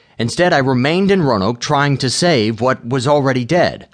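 A man's normal speaking voice, fairly high in pitch, with lively intonation at a fairly quick pace over a quiet background. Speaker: audiobook narrator and author. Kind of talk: dramatic audiobook narration, first-person memoir turning into a rallying call. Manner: earnest, emotionally intense, building from hushed anguish to a stirring, rousing appeal.

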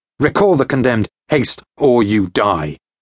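A man with a plain, everyday voice, at a moderate pace with lively intonation, in a dry, close sound with no echo against a quiet background. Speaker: audiobook narrator. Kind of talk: dramatic audiobook narration, first-person adventure.

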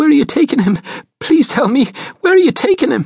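A man puts on a shaky character voice pitched extremely high. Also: fairly quick pace.

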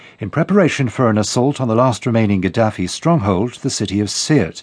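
A man's medium-pitched voice at a very fast pace. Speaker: BBC newsreader. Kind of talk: news reading, scripted headlines bulletin. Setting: studio. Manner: formal, brisk, neutral and measured; crisp, even delivery with little emotion.

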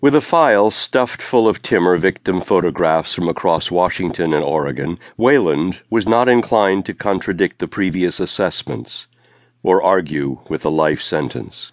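Set against a quiet background, the speech has a dramatic tone, lively intonation and a moderate pace, with a dry, close sound and no echo. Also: man, very deep, low pitch for a man. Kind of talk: audiobook narration of a crime thriller. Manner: dramatic, suspenseful, measured pacing.

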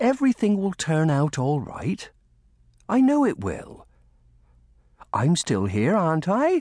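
A man's put-on character voice, fairly high in pitch with very wide pitch swings, slightly mellow in tone and slow in pace, on a very clean recording with a silent background.

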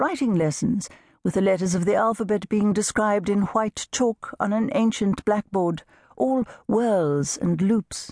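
In a dry, close sound with no echo and a quiet background, a woman talks in an unremarkable speaking voice with ordinary pitch variation. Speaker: audiobook narrator. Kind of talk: audiobook narration, unabridged novel reading. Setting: studio. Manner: measured, warm storytelling pace, gently expressive; shifts into character voices for dialogue.

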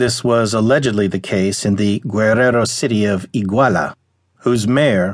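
Here a man talks in a normal speaking voice at a moderate pace. His pitch variation is ordinary, and the background is quiet. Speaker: audiobook narrator. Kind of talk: audiobook news article reading.

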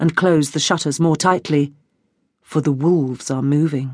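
Here is a woman with an unremarkable speaking voice and ordinary pitch variation. The background is quiet. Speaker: audiobook narrator. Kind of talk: dramatic audiobook narration of a historical novel. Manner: measured, atmospheric, vividly descriptive.

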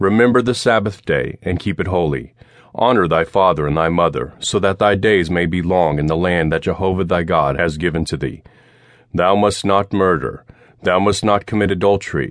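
Very deep, low pitch from a man, with ordinary pitch variation at a moderate pace. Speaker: audiobook narrator. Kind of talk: audiobook reading of nonfiction history, read aloud from a script. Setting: studio. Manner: formal, measured, steady narration.

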